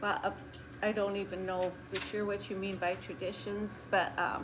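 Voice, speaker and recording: Amid noticeable background noise and audible room echo, a woman speaks at a medium pitch with monotone, flat intonation. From US Midwest, Clear Lake, Wisconsin. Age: 80s+. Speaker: retired kindergarten teacher. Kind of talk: oral history interview. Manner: hesitant, with fillers.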